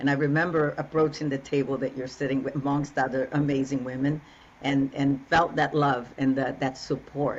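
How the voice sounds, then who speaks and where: This woman's pitch is very deep and low. She speaks at a moderate pace. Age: 60s. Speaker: relationship coach. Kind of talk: interview conversation. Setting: podcast.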